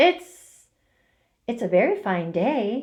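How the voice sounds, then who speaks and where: A woman's put-on character voice, fairly high in pitch, with very wide pitch swings. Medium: read story. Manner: timid.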